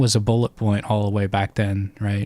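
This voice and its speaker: Quiet and fairly low-pitched, a man speaks at a moderate pace with a dark, mellow tone and monotone, flat intonation, in a very clean recording with a silent background. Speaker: fantasy book theory streamer. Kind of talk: live stream chat. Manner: hesitant, many fillers.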